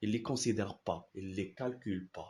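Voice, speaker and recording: Very slowly, a man talks in a dark, mellow tone. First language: Arabic (speaking French). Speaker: philosophy YouTuber. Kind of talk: casual explanatory talk. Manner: halting, many repetitions and fillers.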